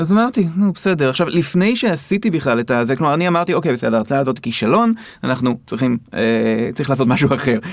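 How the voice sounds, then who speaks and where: Very fast and with hardly any pauses, a man talks at a fairly high pitch. His pitch swings very widely while his loudness stays very even. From Israel. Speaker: film critic and lecturer. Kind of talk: interview.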